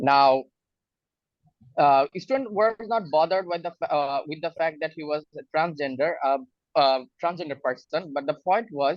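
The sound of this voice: At a moderate pace, a man speaks in a fairly high pitch with ordinary pitch variation.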